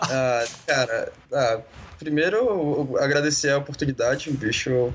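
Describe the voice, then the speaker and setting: You hear a man talking. His pitch is fairly high. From Brazil, Belo Horizonte. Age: 30s. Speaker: designer and church communication leader. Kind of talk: casual interview.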